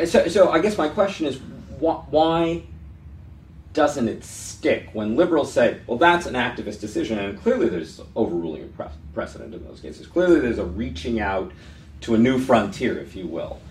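In an American accent, a man of medium pitch speaks at a moderate pace with very wide pitch swings, big swings in loudness and vocal fry, with audible room echo. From San Francisco, California. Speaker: interview host, law professor. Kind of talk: interview. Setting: office.

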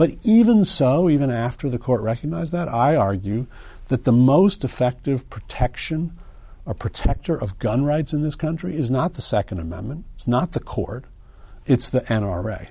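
With a General American accent, this somewhat breathy voice has a dark, mellow tone, very wide pitch swings and a moderate pace. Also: man, medium pitch for a man. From US Northeast and Midwest (Connecticut, Illinois). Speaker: civil liberties lawyer and law professor. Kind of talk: interview. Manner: halting, many fillers.

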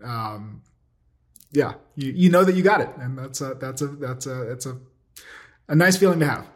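A somewhat breathy male voice with long, frequent pauses. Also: medium pitch for a man, ordinary pitch variation, moderate pace. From Jamaica. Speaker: computer vision professor. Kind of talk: interview. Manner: halting, filler-heavy.

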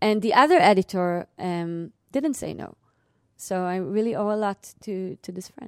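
This speaker has an Israeli accent and talks at a moderate pace with ordinary pitch variation. The sound is dry and close, without echo. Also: woman, medium pitch for a woman. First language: Hebrew. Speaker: novelist and clinical psychologist. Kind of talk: public lecture. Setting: lecture hall with audience.

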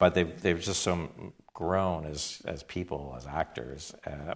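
With a Canadian accent, a man speaks with vocal fry and ordinary pitch variation. The recording is very clean, with a silent background. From Canada, Toronto. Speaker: TV director. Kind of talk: onstage interview. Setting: theater stage with live audience.

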